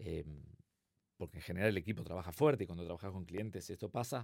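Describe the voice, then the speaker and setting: On a very clean recording with a silent background, a man with an Argentine accent talks very fast with ordinary pitch variation. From Argentina, Buenos Aires. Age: 50s. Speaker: consulting firm co-founder. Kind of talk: interview.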